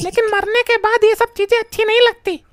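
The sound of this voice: In a squeaky, cartoonish character voice pitched extremely high, a woman talks at a fairly quick pace with monotone, flat intonation, the sound dry and close with no echo.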